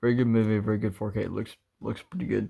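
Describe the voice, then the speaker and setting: Fairly low in pitch, a man's voice carries a dark, mellow tone and fairly even intonation. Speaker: collector reviewing his own Blu-ray collection. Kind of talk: casual show-and-tell video. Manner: halting, with many fillers.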